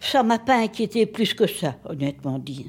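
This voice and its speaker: In a very clean recording with a silent background, a somewhat breathy voice moves at a very slow pace with very wide pitch swings. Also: woman. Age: old. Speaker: older woman interviewed about aging. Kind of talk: documentary interview.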